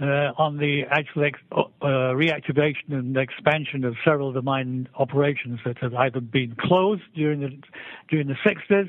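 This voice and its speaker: This is a man with a British accent. His pitch sits fairly high. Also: ordinary pitch variation, moderate pace. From England. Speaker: civil engineer, mining executive. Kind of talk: interview. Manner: halting, many repetitions and fillers.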